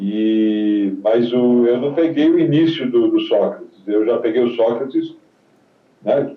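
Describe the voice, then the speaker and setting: There is audible room echo as a man at medium pitch speaks very slowly with ordinary pitch variation. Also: very even loudness. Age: 70s. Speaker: retired footballer. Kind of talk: interview.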